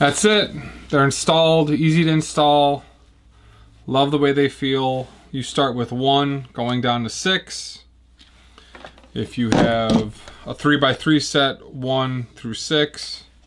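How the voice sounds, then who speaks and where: With an American accent, the speaker talks at a very slow pace, leaving long, frequent pauses. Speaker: guitar builder. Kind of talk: tutorial. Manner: casual.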